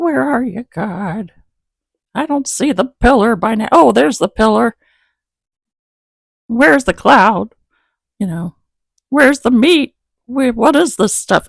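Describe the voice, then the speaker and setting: In a put-on character voice, the speaker sounds whiny, with a whiny tone, a fairly high pitch, a fairly slow pace and long, frequent pauses. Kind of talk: humorous sermon. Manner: whiny, complaining, funny.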